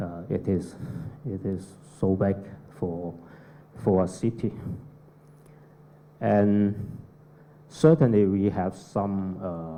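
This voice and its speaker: Speaking at a very slow pace with a non-native accent, the voice leaves long, frequent pauses, and audible room echo surrounds it. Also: man, very deep, low pitch for a man, ordinary pitch variation. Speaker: architect. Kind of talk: conference presentation. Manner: halting, many fillers.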